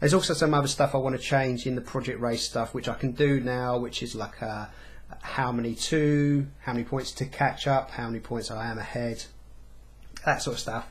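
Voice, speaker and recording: Fairly quick and somewhat breathy, the voice keeps its intonation fairly even. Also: man, medium pitch for a man. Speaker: gaming vlogger. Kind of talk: casual vlog monologue. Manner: fast.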